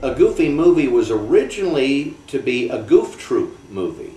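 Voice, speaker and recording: A man is speaking. There is audible echo from the room. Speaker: voice actor. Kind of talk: interview answer. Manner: casual, chatty. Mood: warm, relaxed. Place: home room.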